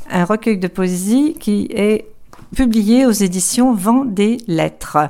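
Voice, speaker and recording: Ordinary pitch variation marks this woman's speech. She talks at a very slow pace. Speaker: interviewer. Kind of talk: casual interview.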